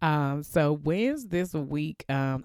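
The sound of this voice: Slow and lively in intonation, a woman speaks at low pitch with a clear, smooth, slightly mellow tone, recorded very cleanly against a silent background.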